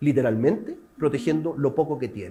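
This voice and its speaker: A man's voice carries a dark, mellow tone and vocal fry. His pitch swings very widely. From Chile. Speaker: civil protection specialist lecturing at a museum seminar. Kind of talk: lecture. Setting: seminar room with live and remote audience. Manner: interactive, questions to the audience.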